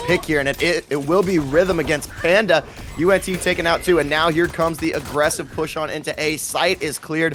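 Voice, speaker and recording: A man's fairly quick speech with music in the background. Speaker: esports caster. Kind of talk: live commentary. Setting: casting booth at LAN event. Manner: high energy.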